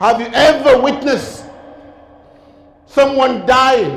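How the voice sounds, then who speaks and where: A man speaks in a solemn tone at a very slow pace, his pitch extremely high and his intonation fairly even. Noticeable background noise runs behind him. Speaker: Islamic lecturer. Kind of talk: Islamic sermon / lecture on death. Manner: earnest, solemn, rhetorical.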